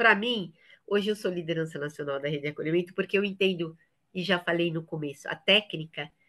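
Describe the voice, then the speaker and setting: A woman's bright, sharp voice at a very fast pace, with a quiet background. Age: 60s. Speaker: trainer for a women's support network. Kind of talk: training session.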